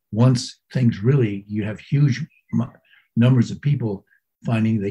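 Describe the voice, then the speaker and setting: A man with an American accent speaks at medium pitch with ordinary pitch variation. His tone is dark and mellow and somewhat breathy. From New England, US. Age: 80s+. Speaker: Zen master. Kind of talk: interview. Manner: halting.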